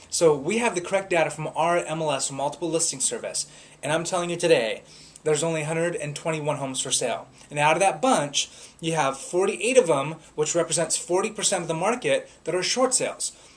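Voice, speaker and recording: With noticeable background noise around him, a man talks at a very fast pace in a high pitch, his pitch varying in an ordinary way. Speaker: real estate agent. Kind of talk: market update talk.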